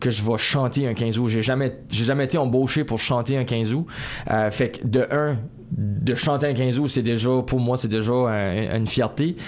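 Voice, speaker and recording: Noticeable background noise sits behind a man at medium pitch. His loudness is very even and his intonation fairly even. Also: moderate pace. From Acadian New Brunswick, Néguac region. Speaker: singer-songwriter. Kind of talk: interview. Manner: hesitant, many repetitions.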